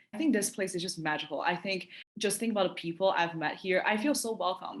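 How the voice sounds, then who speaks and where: Against a quiet background, a woman with a Chinese accent speaks at a fairly low pitch with ordinary pitch variation. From China. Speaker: university student. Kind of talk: interview testimonial.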